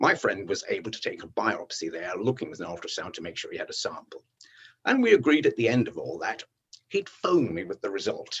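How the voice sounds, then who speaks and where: At a fairly quick pace, a man speaks with big swings in loudness. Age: 60s. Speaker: retired ENT surgeon and cancer survivor. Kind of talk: personal testimony. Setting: home study.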